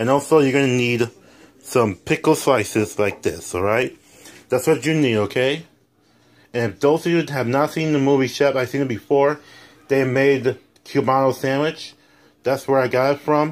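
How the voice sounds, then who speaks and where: At a moderate pace, a man talks with ordinary pitch variation and long, frequent pauses. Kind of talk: cooking tutorial. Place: kitchen. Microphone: phone near.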